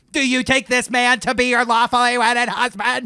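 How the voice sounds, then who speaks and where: In a put-on character voice, the speaker delivers lines fairly quickly at a fairly high pitch with monotone, flat intonation. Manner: formal, solemn.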